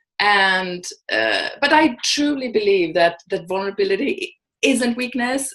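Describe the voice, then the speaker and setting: A woman speaks with a Swedish accent. Her tone is bright and sharp. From Sweden. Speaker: vulnerability and courage coach. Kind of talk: interview. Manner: halting, many fillers and restarts.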